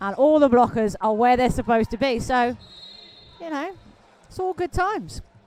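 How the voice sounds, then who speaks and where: Her high voice moves through very wide pitch swings in an animated tone at a moderate pace. The woman leaves long, frequent pauses, and noticeable background noise is present. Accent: Welsh. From Wales. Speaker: roller derby commentator. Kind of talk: live commentary.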